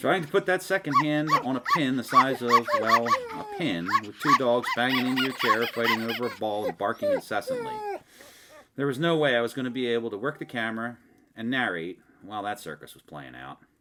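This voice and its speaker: A man's medium-pitched voice with a Philadelphia accent, lively intonation and a fairly quick pace, over noticeable background noise. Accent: Philadelphia-area. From Delaware County, Pennsylvania. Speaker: hobbyist video maker. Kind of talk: casual narrated product review. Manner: joking, conversational.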